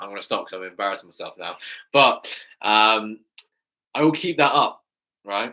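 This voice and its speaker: A man with a fairly high pitch speaks in a bright, sharp, animated tone with lively intonation. His loudness swings widely, and he leaves long, frequent pauses. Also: moderate pace. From England. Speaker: fitness coach and YouTuber. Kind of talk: live stream Q&A chat.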